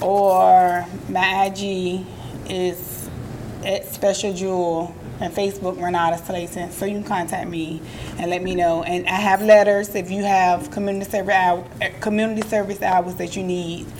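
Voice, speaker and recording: A woman with an American accent speaks at medium pitch and a moderate pace in a monotone, flat way, with noticeable background noise. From Virginia, Portsmouth. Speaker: community organizer. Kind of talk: casual chat.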